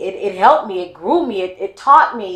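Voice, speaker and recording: A woman with an American accent talks at a moderate pace in an unremarkable speaking voice, her intonation lively. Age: 50s. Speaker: podcast host and educator. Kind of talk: casual interview chat.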